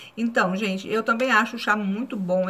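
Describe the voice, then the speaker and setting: A woman speaks at a fairly high pitch, with ordinary variation in her intonation. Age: 40s. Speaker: YouTuber; vlogger. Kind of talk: casual vlog review; casual vlog chat. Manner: halting. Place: home room. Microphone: phone near.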